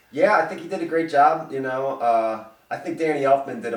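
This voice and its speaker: With ordinary pitch variation and a moderate pace, a man's voice carries audible room echo. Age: 40s. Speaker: show co-host. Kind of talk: casual chat.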